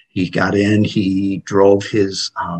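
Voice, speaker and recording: The speaker is a man with a fairly low voice. It sounds somewhat breathy. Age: 60s. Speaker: paramedic and EMS educator. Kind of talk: interview.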